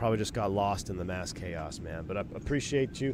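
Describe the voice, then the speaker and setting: A man talks with ordinary pitch variation amid audible room echo. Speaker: airline pilot and flight sim streamer. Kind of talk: live stream commentary. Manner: casual, chatty.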